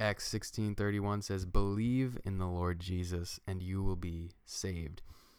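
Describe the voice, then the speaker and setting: Here a man speaks with a very deep, low voice. His pace is fairly slow, with hardly any pauses. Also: fairly even intonation, very clean recording, silent background. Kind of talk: casual faith discussion.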